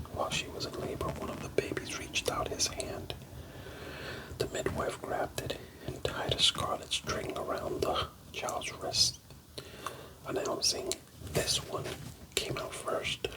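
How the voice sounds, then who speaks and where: A man whispers at a fairly slow pace, stopping often for long pauses. Background noise is noticeable. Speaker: Bible reader / ASMR channel host. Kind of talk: soft-spoken Bible reading for sleep. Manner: whispered, soft-spoken.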